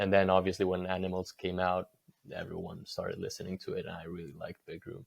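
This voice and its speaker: Against a quiet background, a man with a Spanish accent speaks in a very deep, low voice. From Spain, Catalonia coast north of Barcelona. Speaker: record label owner. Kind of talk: podcast interview. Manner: casual.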